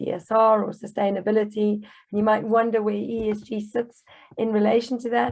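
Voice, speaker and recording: Speaking at a fairly quick pace, a woman has a fairly high voice with monotone, flat intonation. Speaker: webinar host, lawyer and consultancy founder. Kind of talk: webinar presentation. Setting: online webinar. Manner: hesitant, many fillers.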